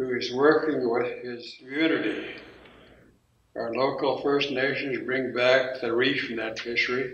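A man speaks at a fairly slow pace with monotone, flat intonation. There is light background noise and audible room echo. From Songhees lands, Victoria, British Columbia, Canada. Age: 70s. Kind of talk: territory acknowledgement and prayer. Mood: calm, solemn, measured. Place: hall. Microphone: camera far.

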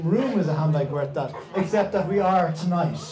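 A man with a high voice talks at a very fast pace, his pitch varying in an ordinary way, with audible room echo and light background noise. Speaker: event host. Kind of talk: stage introduction. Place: stage. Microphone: handheld.

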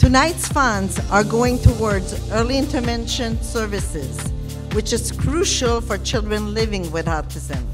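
The speech runs at a fairly slow pace with clear music playing in the background. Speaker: foundation representative. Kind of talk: charity event welcome speech. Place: hall. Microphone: podium.

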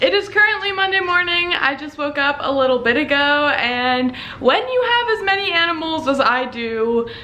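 In a raised, projected voice with very wide pitch swings, the speaker goes at a moderate pace with hardly any pauses over light background noise. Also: woman. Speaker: pet vlogger. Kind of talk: casual vlog chat. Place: home room. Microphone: phone near.

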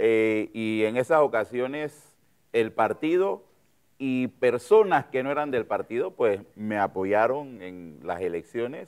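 A man at a very slow pace with lively intonation against a quiet background. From Panama. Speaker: politician and physician; politician. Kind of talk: political interview. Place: studio. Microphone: lapel.

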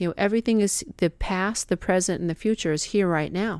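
A woman's ordinary speaking voice, medium in pitch, with ordinary pitch variation at a moderate pace. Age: 50s. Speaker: life coach. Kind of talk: monologue podcast, motivational self-help talk; guided visualization.

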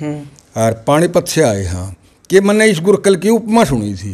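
A man speaks at a moderate pace with very wide pitch swings. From Haryana, India. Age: 70s. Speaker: village elder, grandfather of a top student; interviewee. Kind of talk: interview. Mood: happy, animated. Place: home room. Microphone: handheld.

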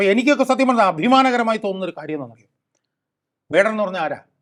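Animated in tone, a man speaks at a high pitch with ordinary variation in it. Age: 60s. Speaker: political activist and advocate. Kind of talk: talk show interview.

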